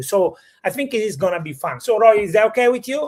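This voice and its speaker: The speaker has an Italian accent. The pace is moderate. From Italy. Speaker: real estate show host. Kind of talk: live stream conversation.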